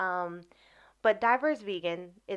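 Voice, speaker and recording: In an American accent, a woman with a normal speaking voice talks at a fairly slow pace, her fairly low pitch showing ordinary variation. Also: quiet background. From US Midwest, Chicago Southeast Side. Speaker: wellness coach and vegan community founder. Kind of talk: interview.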